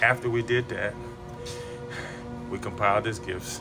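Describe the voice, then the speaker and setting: Clear music in the background behind a man speaking. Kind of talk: casual vlog chat. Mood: warm, reflective, sometimes laughing. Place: office. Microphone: phone near.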